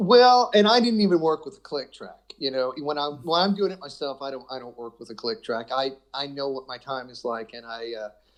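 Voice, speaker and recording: In an unremarkable speaking voice, the speaker moves at a fairly quick pace with hardly any pauses and lively intonation. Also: man, fairly high pitch for a man. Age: 60s. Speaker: guitarist. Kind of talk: casual chat.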